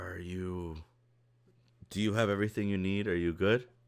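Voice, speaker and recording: Using a put-on character voice with very deep, low pitch, a man talks at a moderate pace with fairly even intonation. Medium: actual play.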